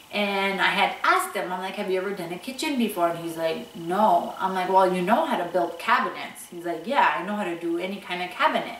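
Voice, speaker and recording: The voice belongs to a woman. Room echo is audible. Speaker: home renovation vlogger. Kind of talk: casual vlog chat. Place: home room.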